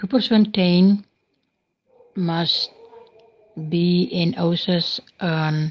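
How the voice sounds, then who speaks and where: A woman's somewhat breathy, fairly low-pitched voice with fairly even intonation. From South Africa, Northern Cape. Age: 60s. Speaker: soup kitchen founder. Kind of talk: voice message testimony. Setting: recorded voice messages.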